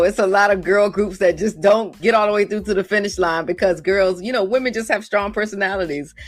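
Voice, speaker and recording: A woman's medium-pitched voice at a fairly quick pace, with hardly any pauses and music in the background. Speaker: radio show host. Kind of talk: radio interview hosting. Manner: upbeat, warm.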